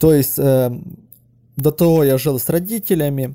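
A man's fairly high voice with a dark, mellow tone, at a fairly slow pace. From western Ukraine. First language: Ukrainian (speaking Russian). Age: 30s. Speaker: caller. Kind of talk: personal story monologue. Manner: halting.

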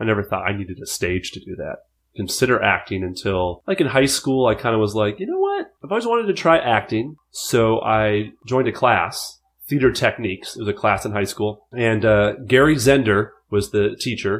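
An ordinary speaking voice with an American accent, ordinary pitch variation and a moderate pace. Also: man, medium pitch for a man. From Minnesota, US Midwest. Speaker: character actor and improviser. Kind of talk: casual interview chat.

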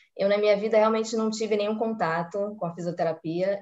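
At a moderate pace, a woman with an ordinary speaking voice talks at a fairly high pitch. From Brazil, Rio de Janeiro (Tijuca). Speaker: physiotherapist. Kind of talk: casual interview on a live stream.

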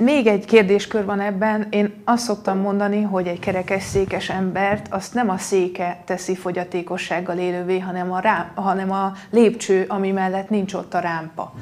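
A woman at medium pitch in a monotone, flat intonation, moderate pace, over noticeable background noise. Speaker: politician. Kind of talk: debate.

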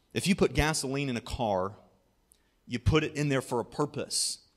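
A man with an American accent, fairly high pitch, ordinary pitch variation and fairly quick pace. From US Midwest, southwest Ohio. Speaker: pastor. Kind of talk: sermon.

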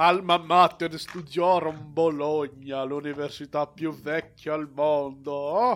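A very slow pace with hardly any pauses and fairly even intonation. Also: man, fairly high pitch for a man. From Brazil. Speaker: podcast co-host discussing films. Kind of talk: casual chat.

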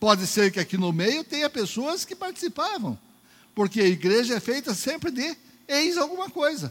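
A man's extremely high voice with very wide pitch swings, at a moderate pace. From Northeast Brazil. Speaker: preacher. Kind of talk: sermon. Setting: church. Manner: animated.

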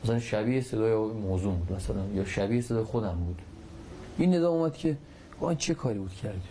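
At a very fast pace, a man talks in a somewhat breathy voice of medium pitch with lively intonation. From Iran, Takab. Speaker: war veteran with near-death experience. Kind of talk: testimony.

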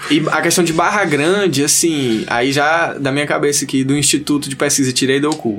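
A man of fairly high pitch at a moderate pace, with ordinary pitch variation, very even loudness, hardly any pauses and noticeable background noise. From Northeast Brazil, Teresina, Piauí. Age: 20s. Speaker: kitesurfer and surfer. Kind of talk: casual chat.

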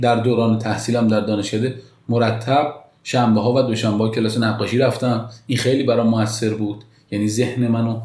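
There is audible room echo as a man with a medium-pitched voice talks at a fairly quick pace in a flat monotone, his loudness very even. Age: 30s. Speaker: architect. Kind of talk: interview.

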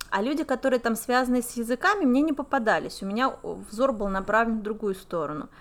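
A woman with an ordinary speaking voice talks at a fairly quick pace, her fairly high pitch carried by lively intonation. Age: 30s. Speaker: podcast co-host, English teacher and entrepreneur. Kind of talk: casual chat.

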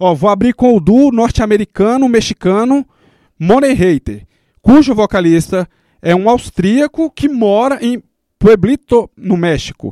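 The tone here is dark and mellow. Its intonation stays lively. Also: man, dry, close sound with no echo. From Brazil, Samambaia (Federal District). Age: 30s. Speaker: radio host and underground musician. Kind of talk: casual radio chat and interview. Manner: casual, slangy.

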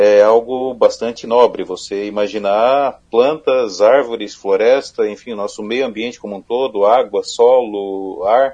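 A man talks at a fairly slow pace with hardly any pauses, his medium-pitched voice dark and mellow. His intonation stays fairly even. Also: big swings in loudness. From southern Santa Catarina, Brazil (Criciúma). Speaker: environmental engineer, regulatory inspection manager. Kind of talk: live radio interview. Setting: radio studio.

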